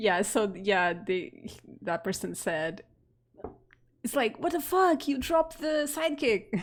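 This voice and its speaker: With a Portuguese accent, a woman talks at a very slow pace with long, frequent pauses. Her fairly high voice swings very widely in pitch. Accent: Portuguese (European) accent in English. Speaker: game streamer. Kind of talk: casual chat while live-streaming a game. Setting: live stream.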